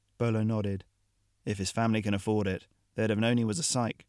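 Someone reads in an unforced voice. Little can be heard behind it, as the background is quiet.

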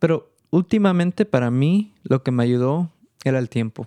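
At a fairly slow pace, a man with a fairly high pitch and a dark, mellow tone uses lively intonation, the sound dry and close with no echo. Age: 20s. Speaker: studio manager. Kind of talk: interview. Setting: studio.

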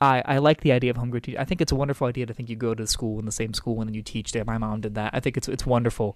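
Spoken with an American accent at a very fast pace, the voice keeps a fairly even intonation and hardly any pauses. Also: man, medium pitch for a man. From Maryland, Frederick County. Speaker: political candidate. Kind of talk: interview.

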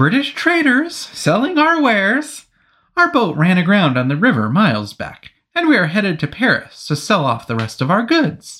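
A man speaks in a put-on character voice, pitched high for a man, with very wide pitch swings at a moderate pace. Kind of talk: foppish, overly casual. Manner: feigned casual.

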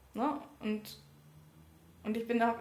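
A woman speaks at a high pitch. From Berlin (Wedding). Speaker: trainee teacher and election candidate. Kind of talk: interview. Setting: office. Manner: halting.

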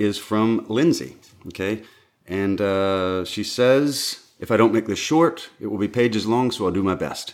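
A man with a Southern US accent, fairly low in pitch, at a moderate pace, on a very clean recording with a silent background. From US South. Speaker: podcast co-host and sound engineer. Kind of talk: casual chat.

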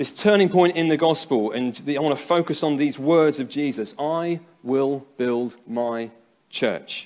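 Fairly high in pitch, a man speaks at a fairly slow pace with ordinary pitch variation. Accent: English. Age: 30s. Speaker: pastor. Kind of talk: sermon. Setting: church. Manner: halting.

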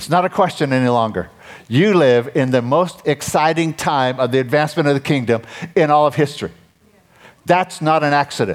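Fairly high male speech with ordinary variation in pitch. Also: fairly quick pace. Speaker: pastor. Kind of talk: sermon. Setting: church service. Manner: gets loud when excited; animated.

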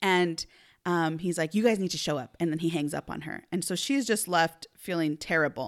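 Against a silent background in a very clean recording, a woman with a fairly low pitch sounds animated, talking at a moderate pace with ordinary pitch variation. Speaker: podcast host, mom. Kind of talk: casual chat. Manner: loud.

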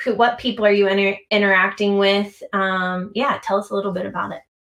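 A woman uses an ordinary speaking voice at a medium pitch and a moderate pace. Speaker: podcast host. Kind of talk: casual interview chat.

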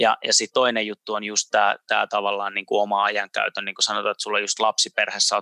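The speaker is a man going at a fairly quick speed. His voice sounds dry and close, without any echo. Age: 30s. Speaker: podcast host. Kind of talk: interview. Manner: halting.

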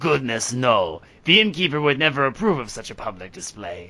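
A man puts on a raspy character voice at a fairly high pitch, speaking at a moderate pace. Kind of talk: courtly, refined. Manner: flirtatious, suggestive.

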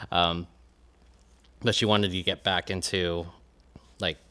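With an American accent, a man speaks at a moderate pace in a very deep, low pitch with a bright, sharp tone and monotone, flat intonation. The recording is very clean, with a silent background. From Jacksonville, Florida (US South). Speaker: graphic designer and business owner. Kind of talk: casual interview.

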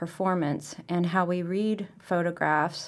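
An ordinary speaking voice, a woman's fairly low pitch moves at a fairly slow pace with fairly even intonation on a very clean recording with a silent background. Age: 40s. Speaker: photographer. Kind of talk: casual interview. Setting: museum.

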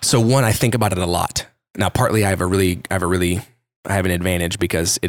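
This man's voice has a very deep, low pitch and an American accent. He speaks at a very fast pace. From Dallas area, Texas. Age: 30s. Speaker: creative entrepreneur. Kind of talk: casual interview chat. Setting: guest's office.

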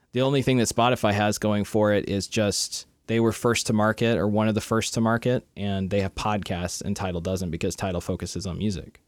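This man has an ordinary speaking voice, fairly low in pitch, with fairly even intonation and hardly any pauses. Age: 30s. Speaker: podcast co-host. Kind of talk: casual chat. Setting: video call.

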